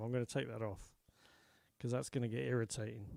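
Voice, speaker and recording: The speech comes at a fairly quick pace with ordinary pitch variation. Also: man. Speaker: country folk singer-songwriter. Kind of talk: live stream chat. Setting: online live stream. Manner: casual.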